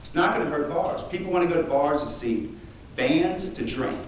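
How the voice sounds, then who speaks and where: Fairly quick speech from a man, amid clear background noise and some audible echo of the room. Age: 50s. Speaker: musician speaking at public comment. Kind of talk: public comment at council meeting. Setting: city council meeting.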